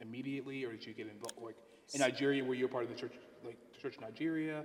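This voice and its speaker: This man speaks at a medium pitch. His intonation stays fairly even. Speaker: clergyman, interviewer. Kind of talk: interview questions.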